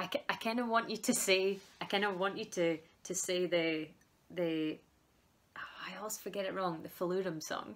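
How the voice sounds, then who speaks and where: A woman speaks at a medium pitch with a Scottish accent. Her pace is moderate and her intonation fairly even. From Scotland. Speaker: folk musician, band member interviewer. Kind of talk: casual chat. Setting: video call. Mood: cheerful, laughing. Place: home room.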